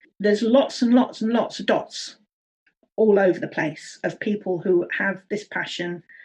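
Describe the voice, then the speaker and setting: A woman with a somewhat breathy voice talks at a moderate pace, her medium pitch showing ordinary variation. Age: 60s. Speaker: early childhood education consultant. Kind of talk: interview.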